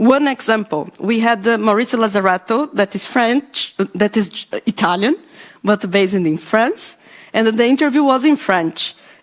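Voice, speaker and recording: Her voice is fairly high, with lively intonation and a Brazilian accent. The woman keeps a moderate pace. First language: Portuguese. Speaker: podcaster, panelist. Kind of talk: panel discussion. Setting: panel event with live audience. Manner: halting, many fillers.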